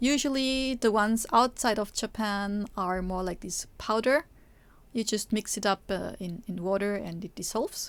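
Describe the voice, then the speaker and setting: A very clean recording with a silent background, in a non-native accent. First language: not English. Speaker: Japanese teacher and Vtuber streamer. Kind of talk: live stream cooking tutorial. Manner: halting, many fillers.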